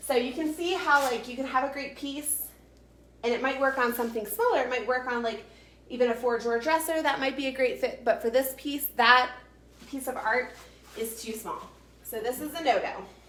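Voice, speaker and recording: Her voice is high-pitched with an animated tone, and this woman talks at a fairly quick pace with ordinary pitch variation. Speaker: furniture painter and realtor. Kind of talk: live-streamed tutorial. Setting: live video stream. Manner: fast.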